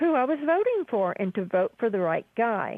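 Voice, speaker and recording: Speaking at a fairly slow pace, a woman has a plain, everyday voice. Her pitch is fairly high and her intonation lively. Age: 60s. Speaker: caller. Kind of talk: call-in conversation. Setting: phone call.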